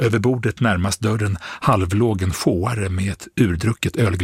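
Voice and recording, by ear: The passage is read aloud. A natural voice does the reading.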